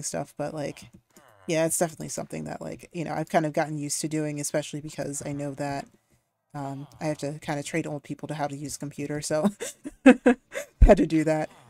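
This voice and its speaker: A woman talks at a fairly quick pace in a very deep, low pitch with a dark, mellow tone. Her intonation is monotone and flat, with big swings in loudness and long, frequent pauses. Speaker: video game streamer. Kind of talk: live game commentary. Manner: fast; filler-heavy, hesitant.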